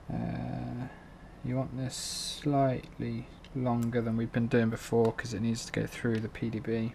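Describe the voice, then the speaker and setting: With a British accent, a man speaks at a fairly slow pace. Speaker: drone hobbyist. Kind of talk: tutorial. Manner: monotone; hesitant, filler-heavy.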